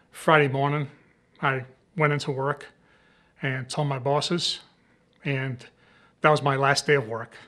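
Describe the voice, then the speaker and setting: A man with an American accent speaks at a fairly high pitch in a bright, sharp tone. His moderate pace and monotone, flat intonation sit over a quiet background. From Rhode Island, US. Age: 60s. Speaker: cancer survivor, retired store manager. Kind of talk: personal testimony. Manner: halting, with frequent fillers.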